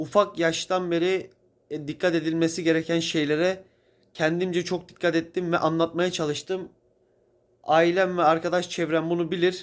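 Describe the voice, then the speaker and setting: The recording is very clean, with a silent background. The speaker goes at a moderate pace in a monotone, flat delivery. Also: man, high pitch for a man. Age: 20s. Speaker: video blogger. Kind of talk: spiritual monologue. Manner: casual, conversational.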